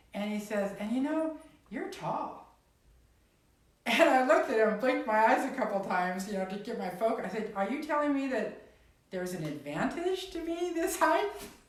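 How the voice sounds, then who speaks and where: A woman speaks at a moderate pace with a fairly high pitch and very wide pitch swings. Noticeable background noise and audible room echo surround her voice. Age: 60s. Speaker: singer-songwriter and activist. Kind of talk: casual chat.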